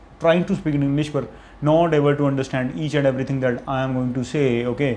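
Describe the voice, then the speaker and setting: Here a man speaks with a Punjabi accent and a fairly high pitch. His pace is fairly quick and his intonation fairly even. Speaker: content creator. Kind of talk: unscripted monologue. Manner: halting, with self-corrections.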